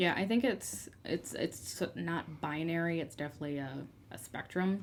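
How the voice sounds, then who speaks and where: A woman's plain, everyday voice, fairly low in pitch, with lively intonation at a moderate pace. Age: 20s. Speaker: podcast guest. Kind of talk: casual chat.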